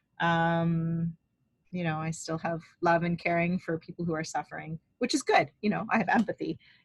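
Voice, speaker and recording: The voice is somewhat breathy, with fairly even intonation. The sound is dry and close, with no echo. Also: woman, fairly low pitch for a woman. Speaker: life purpose coach and spiritual healer. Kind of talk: guided healing session. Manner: fast; hesitant, many ums.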